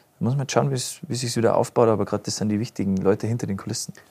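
Talking at a very fast pace in an Upper Bavarian accent, a man uses ordinary pitch variation in a very clean recording with a silent background. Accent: deep Upper Bavarian dialect. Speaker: musician. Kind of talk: casual interview. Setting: studio.

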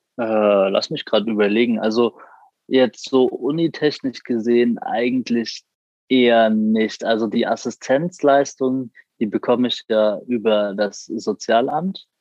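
Fairly slow in pace, a man speaks at a medium pitch in a plain, everyday voice with ordinary pitch variation. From Frankfurt am Main, Germany. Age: 20s. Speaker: university student with a visual impairment. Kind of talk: interview.

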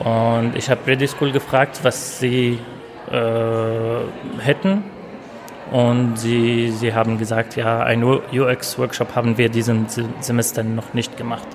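A man with an Arabic accent at a medium pitch, very slow and monotone with flat intonation, amid noticeable background noise. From Syria. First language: Arabic (speaking German). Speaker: former student, workshop teacher. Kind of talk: interview.

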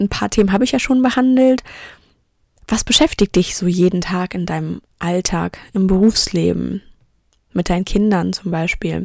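A woman at a moderate pace with long, frequent pauses, in a dry, close sound with no echo. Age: 30s. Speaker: podcast host and business coach. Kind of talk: solo podcast monologue.

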